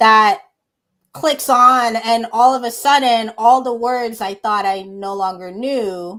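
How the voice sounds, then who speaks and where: On a very clean recording with a silent background, a woman speaks with an American accent. Hers is an ordinary speaking voice, fairly high in pitch, with ordinary pitch variation. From USA. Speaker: podcast host. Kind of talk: casual interview chat.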